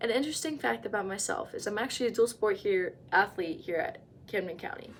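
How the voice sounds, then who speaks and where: With an American accent, a woman talks at a fairly quick pace in a fairly high pitch, in a normal speaking voice. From New Jersey, US. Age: 20s. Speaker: college student. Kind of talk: class self-introduction speech. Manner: casual.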